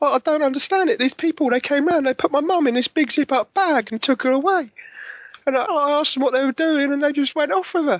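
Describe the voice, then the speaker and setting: A squeaky, high-pitched put-on character voice at a very fast pace. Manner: puzzled, naive.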